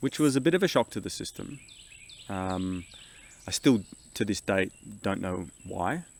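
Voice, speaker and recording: With an Australian accent, a man speaks at a fairly low pitch and a moderate pace. His pitch swings very widely, and he takes long, frequent pauses. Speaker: family travel vlogger. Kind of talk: casual chat. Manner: hesitant, with fillers.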